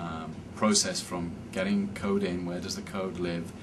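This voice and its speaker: Speaking at a moderate pace with a British accent, a man has a very deep, low voice and a flat, monotone delivery. Room echo is audible, and background noise is noticeable. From England, Cambridge. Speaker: software development manager. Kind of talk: interview.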